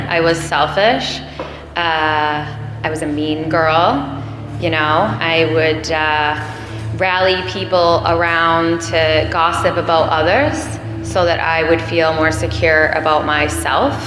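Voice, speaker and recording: Music plays in the background as a woman with a very deep, low pitch speaks at a very slow pace, with audible room echo. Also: ordinary pitch variation. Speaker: AA meeting speaker. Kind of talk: recovery testimony. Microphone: too far from the mic at first.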